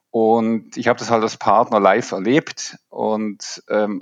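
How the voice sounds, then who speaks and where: Very slowly, a man speaks in a dry, close recording with no echo that is very clean, with a silent background. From Switzerland. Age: 50s. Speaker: leadership coach. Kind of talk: podcast interview.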